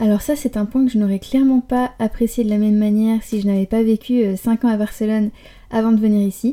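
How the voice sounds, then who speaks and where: A woman with a fairly high pitch talks at a fairly quick pace in a monotone, flat intonation, her loudness very even. Her tone is dark and mellow and somewhat breathy, on a very clean recording with a silent background. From Paris, France. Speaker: podcaster and blogger. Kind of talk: solo podcast monologue.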